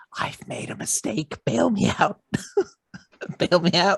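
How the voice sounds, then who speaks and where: A man whispers in a put-on character voice. It is breathy and comes at a fairly slow pace. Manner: stage whisper, loud and breathy.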